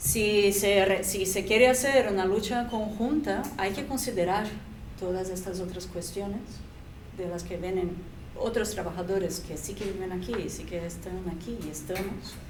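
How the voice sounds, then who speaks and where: Speaking with a non-native accent at a fairly slow pace, the voice shows ordinary pitch variation and big swings in loudness amid noticeable background noise and audible room echo. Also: woman, medium pitch for a woman. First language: not Spanish (speaking Spanish). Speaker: restaurant waitress, panelist. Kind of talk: round-table discussion. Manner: halting.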